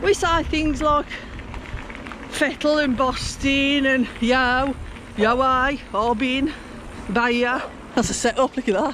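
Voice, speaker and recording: With noticeable background noise behind her, a woman with a high pitch speaks at a very slow pace, taking long, frequent pauses, her loudness very even and her pitch variation ordinary. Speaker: cycling vlogger. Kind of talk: casual vlog narration.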